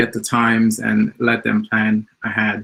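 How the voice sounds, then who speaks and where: In a Portuguese accent, a man talks with a bright, sharp tone at medium pitch. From Mozambique. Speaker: software developer, community founder. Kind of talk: conference talk. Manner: hesitant, many fillers.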